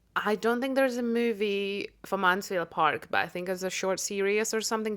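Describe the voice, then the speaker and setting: On a very clean recording with a silent background, a woman with a Russian accent speaks fairly quickly at a medium pitch with ordinary pitch variation. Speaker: podcast co-host. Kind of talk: casual chat.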